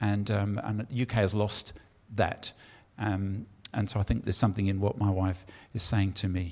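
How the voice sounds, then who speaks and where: The speaker has an English accent and a monotone, flat intonation at a moderate pace. Long, frequent pauses break up the speech. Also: man, fairly low pitch for a man. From England. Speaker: pastor. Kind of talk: sermon. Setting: church with congregation.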